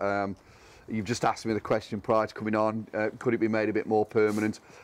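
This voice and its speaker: Here a man talks at a fairly quick pace. His pitch sits in the medium range. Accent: English. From England. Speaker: tram restoration volunteer. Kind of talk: casual interview. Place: open country.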